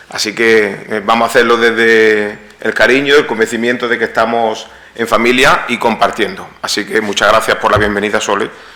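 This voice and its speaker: A man at medium pitch and moderate pace with fairly even intonation, amid audible room echo and noticeable background noise. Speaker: psychologist, lecturer. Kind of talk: lecture. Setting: hall with live audience. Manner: interactive, conversational.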